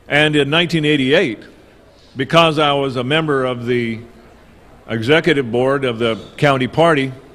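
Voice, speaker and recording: A man's fairly high voice at a moderate pace, with fairly even intonation, long, frequent pauses and audible room echo. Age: 60s. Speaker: political activist. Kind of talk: conference talk.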